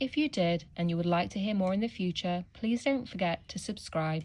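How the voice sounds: Pitch variation is ordinary in this natural reading voice.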